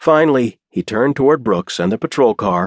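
Reading aloud in a natural voice, with a quiet background

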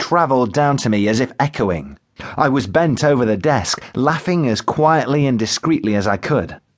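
A passage is read aloud. The delivery is natural.

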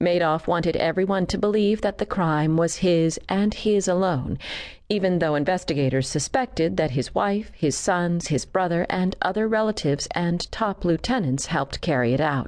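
Over a quiet background, a woman with an unremarkable speaking voice and a fairly low pitch talks at a moderate pace, her loudness very even and her pitch variation ordinary. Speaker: audiobook narrator. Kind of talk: scripted courtroom narration, read aloud as a true-crime audiobook. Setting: studio. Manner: measured, solemn, formal.

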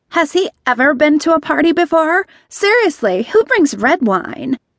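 A female-sounding, put-on character voice with a high pitch and hissing moves at a moderate pace. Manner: hissed, snide.

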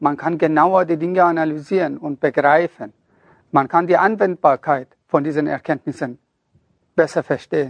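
Speaking at a fairly slow pace, a man has a fairly high pitch and ordinary pitch variation. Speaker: self-help author and narrator. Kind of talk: motivational pep talk to an audience. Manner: earnest, urging, direct address; emphatic, preachy.

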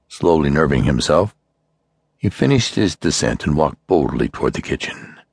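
A very deep, low-pitched man's voice with vocal fry and lively intonation, dry and close with no echo. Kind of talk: dramatic audiobook narration of a horror story. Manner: hushed, suspenseful, grave pacing building dread.

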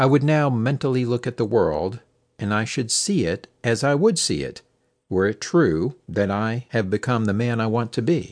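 With an unremarkable speaking voice, a man talks at a moderate pace and medium pitch, his intonation lively against a quiet background. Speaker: audiobook narrator. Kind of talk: dramatic audiobook narration of a spiritual lecture. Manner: earnest, persuasive, measured.

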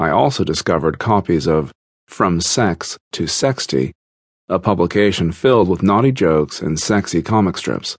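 At a moderate pace, a man with a very deep, low pitch and vocal fry speaks with lively intonation, the sound dry and close with no echo against a quiet background. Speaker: audiobook narrator. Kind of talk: audiobook narration, first-person memoir reading. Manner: measured, steady narrator pace; earnest, confessional tone.

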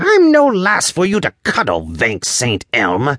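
Growling through a put-on character voice, a man speaks at a fairly slow pace. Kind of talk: archaic, fantasy. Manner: angry, growling, indignant.

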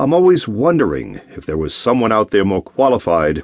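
Using vocal fry and very wide pitch swings, a man talks at a moderate pace in a dry, close sound with no echo. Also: quiet background. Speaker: audiobook narrator. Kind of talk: first-person dramatic audiobook narration of a Bible story, prayerful anguished monologue. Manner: earnest, pleading, halting and emotional.

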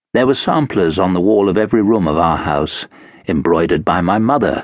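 A man speaks in a solemn, theatrical tone. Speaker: audiobook narrator. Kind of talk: dramatic audiobook narration, first-person confessional. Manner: brooding, solemn, anguished, self-lacerating; formal, measured, theatrical.

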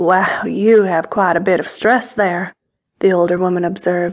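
A woman with a medium pitch and an ordinary speaking voice talks at a fairly slow pace with fairly even intonation. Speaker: audiobook narrator. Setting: studio. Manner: intimate, sensual, unhurried storytelling with a teasing, playful tone.

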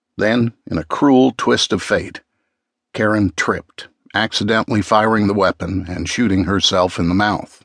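Speaking at a moderate pace, a man uses a dramatic tone in a fairly low pitch with ordinary pitch variation. The sound is dry and close with no echo, the background quiet. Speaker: audiobook narrator. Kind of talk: true crime audiobook narration, dramatic. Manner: dramatic, suspenseful, measured.

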